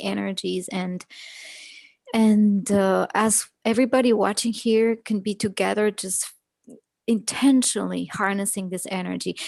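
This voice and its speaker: Over a quiet background, a woman with a plain, everyday voice speaks fairly slowly at a fairly high pitch. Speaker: astrologer. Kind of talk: live astrology presentation and guided meditation.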